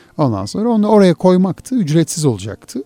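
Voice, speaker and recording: Over music in the background, a man speaks at a moderate pace with very wide pitch swings, the sound dry and close with no echo. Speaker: podcast host. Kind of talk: casual chat.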